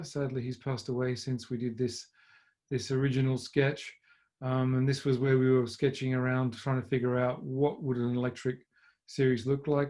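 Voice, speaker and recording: Here is a man with an Australian accent. His tone is dark and mellow. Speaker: motor racing team principal. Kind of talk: talk to a club audience. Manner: halting, many fillers.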